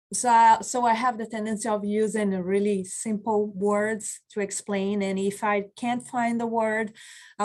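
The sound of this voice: A woman's slightly mellow voice with little pitch movement.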